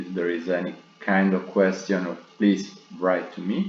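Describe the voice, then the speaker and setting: A man with a very deep, low pitch speaks amid audible room echo and noticeable background noise. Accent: Italian. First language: Italian. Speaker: trading analyst. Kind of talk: tutorial. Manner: halting.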